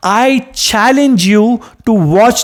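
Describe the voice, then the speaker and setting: The tone is animated. The speaker has a Kannada accent. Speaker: movie reviewer. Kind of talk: video review monologue.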